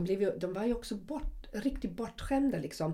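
A woman's dark, mellow tone with vocal fry. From West Germany. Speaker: podcast co-host. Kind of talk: casual chat.

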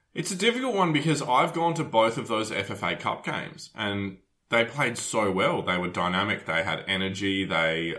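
Bright, sharp speech in an Australian accent, at a fairly slow pace with ordinary pitch variation. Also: man. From Adelaide, South Australia. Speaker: football podcast host. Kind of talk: casual chat.

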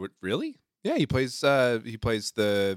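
In an American accent, an ordinary speaking voice moves at a moderate pace with fairly even intonation, recorded very cleanly against a silent background with a dry, close sound and no echo. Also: man. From California. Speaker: podcast guest. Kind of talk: casual chat.

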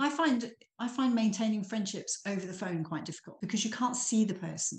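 A woman's somewhat breathy voice at medium pitch moves at a fairly quick pace with ordinary pitch variation. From eastern England, Norfolk. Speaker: small business owner. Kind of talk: interview.

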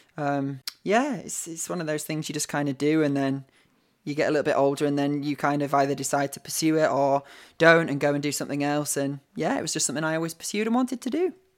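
A man with a northern English accent talks at a very fast pace, his fairly high pitch showing ordinary variation. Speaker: actor. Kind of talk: casual chat. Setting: video call.

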